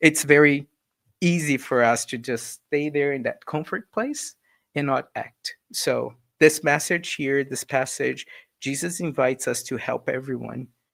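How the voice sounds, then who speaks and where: This man has an ordinary speaking voice at a medium pitch and moderate pace. His intonation is fairly even, on a very clean recording with a silent background. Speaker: spiritist lecturer. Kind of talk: lecture. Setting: live stream.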